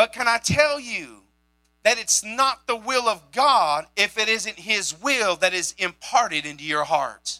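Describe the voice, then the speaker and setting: A high-pitched man speaks in a raised, projected voice with an animated tone and lively intonation, at a fairly slow pace. Music plays in the background, and the sound is dry and close with no echo. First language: sign language. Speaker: pastor. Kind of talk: sermon. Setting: church.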